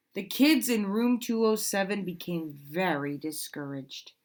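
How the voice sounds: Lively intonation in a natural reading voice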